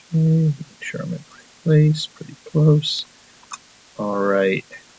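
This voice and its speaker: Amid noticeable background noise, a man with a fairly high pitch talks at a fairly slow pace with ordinary pitch variation. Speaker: math teacher. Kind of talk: tutorial. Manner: mumbling to himself at times.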